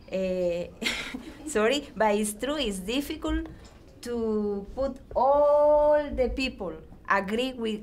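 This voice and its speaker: With lively intonation and a fairly high pitch, a woman speaks very slowly amid audible room echo. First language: not English. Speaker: immigrant English learner. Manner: halting.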